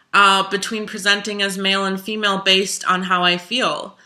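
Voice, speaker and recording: A woman speaks with a bright, sharp tone. Her intonation stays monotone and flat. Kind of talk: casual interview-style talk to camera.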